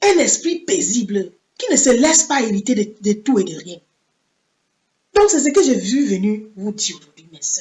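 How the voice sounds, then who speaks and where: A woman talks at a moderate pace in a high voice, with big swings in loudness and very wide pitch swings. Her speech is broken by long, frequent pauses. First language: English (speaking French). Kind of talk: sermon. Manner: halting.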